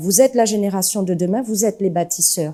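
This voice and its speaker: A woman's dark, mellow tone at medium pitch, with ordinary pitch variation and a moderate pace. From Martinique (Le Vauclin, south). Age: 40s. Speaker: parliamentary candidate. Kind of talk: interview.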